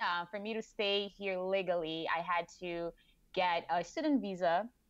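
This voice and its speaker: A woman of medium pitch against a quiet background. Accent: Portuguese. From Brazil. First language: Portuguese. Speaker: marketing director. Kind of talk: interview.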